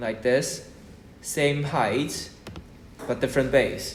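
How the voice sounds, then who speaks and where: A man's somewhat breathy, medium-pitched voice amid audible room echo. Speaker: maths tutor. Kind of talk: lesson. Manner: slow.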